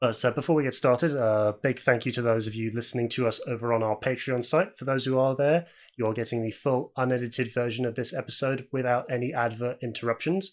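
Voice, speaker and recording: A man with a British accent speaks very fast with hardly any pauses and fairly even intonation. The recording is very clean, with a silent background. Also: medium pitch for a man. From UK. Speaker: podcast host. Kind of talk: casual chat.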